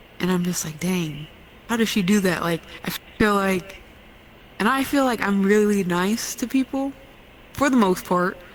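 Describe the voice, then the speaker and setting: At a moderate pace, a woman with a medium pitch speaks with long, frequent pauses. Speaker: podcast co-host. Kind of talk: casual chat. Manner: monotone.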